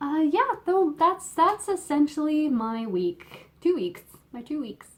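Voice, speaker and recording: A woman's high-pitched voice at a very slow pace, with very wide pitch swings and big swings in loudness. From Canada. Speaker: knitting podcaster. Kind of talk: casual chat. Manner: halting, many fillers. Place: home room. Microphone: phone near.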